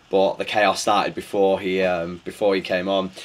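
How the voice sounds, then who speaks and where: A man speaks with a Manchester accent. His pitch is fairly low and his pace fairly slow. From northern England, Bury, Greater Manchester; northern England. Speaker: DJ and music producer; DJ. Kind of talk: interview answers. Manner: hesitant, many fillers and repetitions. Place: studio.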